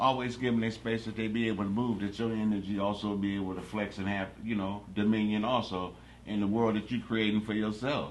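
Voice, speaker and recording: In a room with audible echo, a man talks at a fairly quick pace with hardly any pauses, his fairly low pitch held in a monotone, flat intonation. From Los Angeles, California. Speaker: interview guest. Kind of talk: casual interview.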